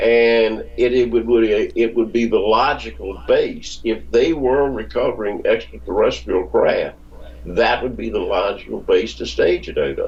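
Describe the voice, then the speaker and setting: A man at a fairly slow pace, with noticeable background noise behind him. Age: 70s. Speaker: author and researcher. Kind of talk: interview. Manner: halting.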